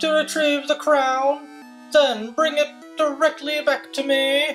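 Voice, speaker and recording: This is a put-on character voice moving at a fairly slow pace. Music plays clearly in the background. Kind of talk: regal, commanding. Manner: imperious.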